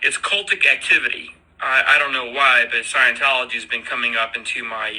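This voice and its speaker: A man talks at a moderate pace, with noticeable background noise. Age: 60s. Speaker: podcaster. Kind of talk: solo audio podcast monologue. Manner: halting, with fillers and repetitions.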